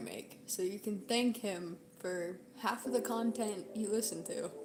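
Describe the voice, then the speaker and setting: Noticeable background noise sits behind a woman speaking in medium pitch. Her pace is fairly slow and her intonation fairly even. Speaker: gaming streamer. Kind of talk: casual live stream chat.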